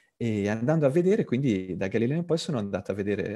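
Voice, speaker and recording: A man speaks at medium pitch with lively intonation and a very fast pace. His tone is dark and mellow, and the sound is dry and close with no echo. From Tuscany (Pisa), Italy. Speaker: designer and author. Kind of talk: online talk / presentation. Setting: video call (virtual classroom).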